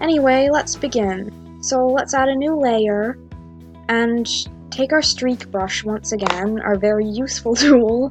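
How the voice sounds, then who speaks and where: A woman speaks at a fairly slow pace with ordinary pitch variation. Music plays in the background. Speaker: digital artist. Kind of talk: drawing tutorial narration. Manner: casual, hesitant.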